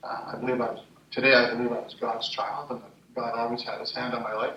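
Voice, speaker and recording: In audible room echo, a man speaks at a medium pitch with a Montreal accent. His pace is fairly quick. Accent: Canadian English, Montreal. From Canada, Montreal. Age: 60s. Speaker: entrepreneur and conference speaker. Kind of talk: personal testimony talk at a conference. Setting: conference stage with audience. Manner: hesitant, many fillers.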